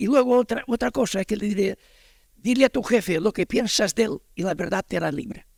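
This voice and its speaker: A man at a fairly quick pace, dry and close with no echo, on a very clean recording with a silent background. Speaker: audience member. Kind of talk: audience question. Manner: halting, rambling.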